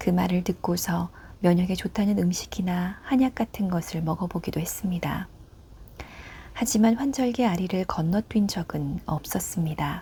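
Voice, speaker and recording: A soft-spoken voice at a fairly slow pace. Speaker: book narrator. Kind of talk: prose reading, ASMR. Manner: quiet, soft-spoken.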